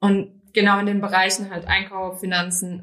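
A woman's plain, everyday voice at medium pitch and moderate pace. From Rhineland-Palatinate, Germany. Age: 20s. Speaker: business trainee. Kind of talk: interview conversation.

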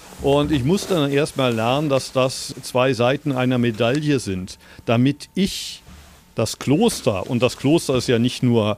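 This man has an unremarkable speaking voice at a medium pitch with ordinary pitch variation. He talks at a fairly slow pace. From Germany (Berlin). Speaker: Zen master. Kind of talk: interview. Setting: remote call.

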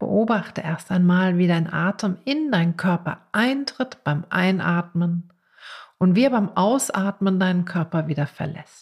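Somewhat breathy and gentle, calm in tone, a woman at medium pitch speaks at a fairly slow pace with lively intonation on a very clean recording with a silent background. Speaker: podcast host and meditation teacher. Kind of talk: guided meditation. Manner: slow, calm, soothing; gentle, with long pauses.

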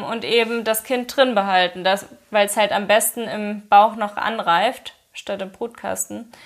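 A woman with an unremarkable speaking voice talks at a fairly slow pace and fairly high pitch. She keeps fairly even intonation and hardly any pauses. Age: 20s. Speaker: influencer and mother. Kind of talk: casual interview, personal story.

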